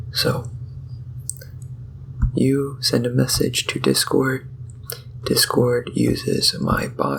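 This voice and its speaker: The speaker is soft-spoken and talks at a very slow pace with long, frequent pauses. Background noise is noticeable. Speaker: ASMR content creator. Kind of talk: casual talk to camera, soft-spoken technical explanation. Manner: soft-spoken, slow rambling.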